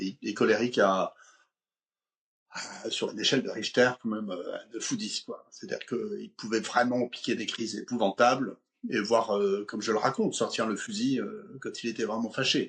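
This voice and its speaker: Long, frequent pauses mark this man's moderate pace. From eastern France. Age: 60s. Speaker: conflict coach and speaker. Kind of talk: interview, personal story.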